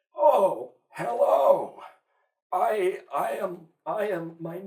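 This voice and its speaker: Putting on a character voice, a man uses a sinister tone. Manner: stammering, sinister, mocking.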